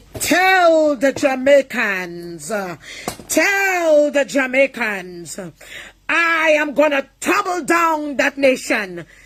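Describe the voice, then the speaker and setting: Someone uses a put-on character voice, high in pitch and at a very slow pace. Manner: commanding, stern.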